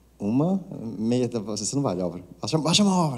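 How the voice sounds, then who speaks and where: The man's voice has a dark, mellow tone and a moderate pace. The recording is very clean, with a silent background. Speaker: conference speaker, tech course manager. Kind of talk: conference talk. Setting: stage with audience. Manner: soft-spoken; casual, joking.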